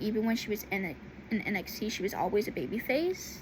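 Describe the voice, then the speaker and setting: The woman's pitch is fairly high and her pace moderate. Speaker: YouTuber talking about wrestling. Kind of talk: casual vlog monologue. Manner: halting, many fillers.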